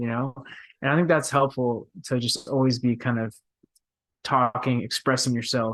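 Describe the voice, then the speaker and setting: At a moderate pace, a man talks in a medium pitch. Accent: American. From Texas, Dallas. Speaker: professional soccer player. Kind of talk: podcast interview. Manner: hesitant, many fillers.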